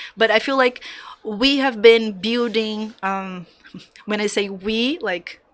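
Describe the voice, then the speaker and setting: Speaking in a Brazilian Portuguese accent, a woman uses a fairly high pitch with ordinary pitch variation. Her pace is very slow. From Brazil, Salvador, Bahia. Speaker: graphic designer. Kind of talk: interview conversation. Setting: studio. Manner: halting.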